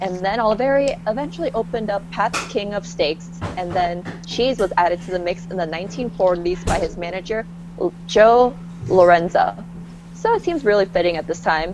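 Through noticeable background noise, a woman speaks quickly enough, at a fairly quick pace, in a fairly low pitch. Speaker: podcast co-host. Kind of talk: casual chat.

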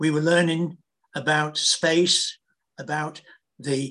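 A man with a British accent. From Britain. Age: 80s+. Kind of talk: testimony.

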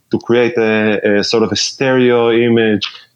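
Speaking with an Israeli accent, a man talks at a fairly slow pace and medium pitch. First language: Hebrew. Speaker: pedal builder and bass player. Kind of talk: casual interview. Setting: remote call.

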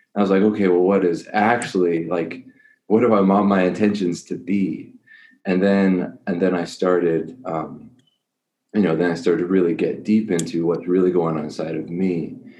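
In a room with audible echo, a man speaks at a moderate pace with a very deep, low pitch and ordinary pitch variation. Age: 30s. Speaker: life coach for men. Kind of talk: casual interview.

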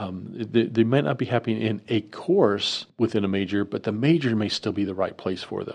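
A man speaks in a plain, everyday voice, fairly low in pitch, with ordinary pitch variation. His pace is moderate, with hardly any pauses. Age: 50s. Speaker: university student affairs director. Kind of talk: interview.

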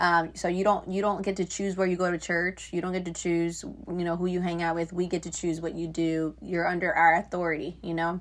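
A woman talks quickly with hardly any pauses, in a fairly low pitch and an American accent. Her intonation stays monotone and flat. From Florida. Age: 20s. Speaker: youth ministry worker. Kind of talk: testimony. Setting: video call.

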